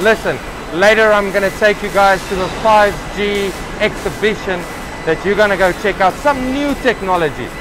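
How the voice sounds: Against clear background noise, a man with a high pitch speaks at a moderate pace, with ordinary pitch variation and few pauses.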